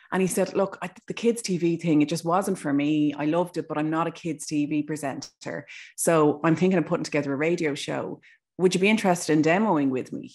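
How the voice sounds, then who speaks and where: With an Irish accent, a woman speaks at a fairly quick pace in a very deep, low pitch with ordinary pitch variation over a quiet background. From Ireland. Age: 40s. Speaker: broadcaster. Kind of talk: casual chat.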